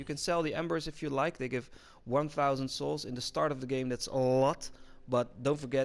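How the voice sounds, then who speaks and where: Medium pitch and fairly level intonation from a man. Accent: Dutch. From Netherlands. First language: Dutch. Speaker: gaming YouTuber. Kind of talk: gameplay commentary tutorial. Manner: flat, unemotional.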